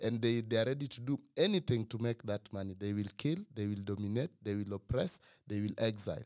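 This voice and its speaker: At a fairly quick pace with hardly any pauses, a man speaks in a medium pitch with ordinary pitch variation, and the sound is dry and close with no echo. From Kenya. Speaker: writer and organizer. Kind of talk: casual chat.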